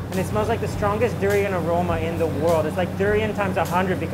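A man talks very rapidly while music plays behind him. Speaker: food travel vlogger. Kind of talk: casual vlog commentary. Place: kitchen.

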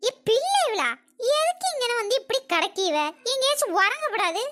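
A woman puts on a cartoonish character voice that is squeaky and extremely high-pitched. Her pitch swings very widely. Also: moderate pace. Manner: chatty, fretful.

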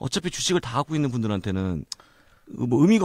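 The pitch of this man's voice swings very widely. He talks at a very fast pace. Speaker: podcast host. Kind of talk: casual expert discussion on market selloff. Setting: recording studio.

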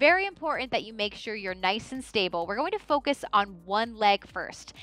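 A raised, projected voice with faint music in the background and a dry sound with no echo. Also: woman. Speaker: fitness trainer. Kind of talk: exercise class instruction. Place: studio. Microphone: headset.

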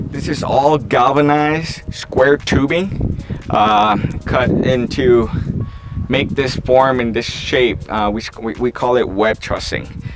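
A man talks at a very slow pace while noticeable background noise runs underneath. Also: ordinary pitch variation. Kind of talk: tour walkthrough explanation. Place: open country. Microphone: phone near.

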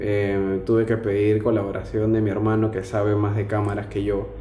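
A man with a Lima accent at a fairly slow pace, with audible room echo and light background noise. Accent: Peruvian (Lima) Spanish. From Lima, Peru. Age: 20s. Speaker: financial auditor; interviewee. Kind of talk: casual interview monologue. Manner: hesitant, many fillers. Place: home room. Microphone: camera far.

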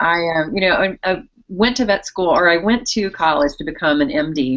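A woman's lively intonation stands out over a quiet background. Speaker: guest, TV host. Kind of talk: interview answer. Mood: friendly, upbeat. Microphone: video call.

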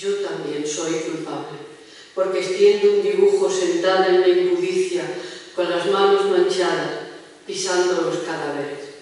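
A woman at a fairly slow pace, with strong room echo. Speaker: poet reading her poems. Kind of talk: poetry reading, dramatic and emotional. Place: hall.

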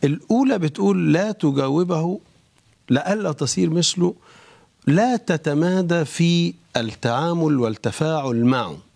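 A man speaks at a very slow pace with a fairly high pitch over a quiet background. His pitch swings very widely. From Egypt. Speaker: bishop. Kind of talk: religious talk show discussion. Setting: studio. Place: studio. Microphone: lapel.

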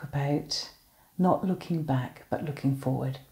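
Her tone is dark and mellow, somewhat breathy, with ordinary pitch variation. The woman speaks at a fairly slow pace against a quiet background. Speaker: minister leading online worship. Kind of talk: welcome and introduction to a worship service. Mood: warm, cheerful. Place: home room. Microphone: phone near.

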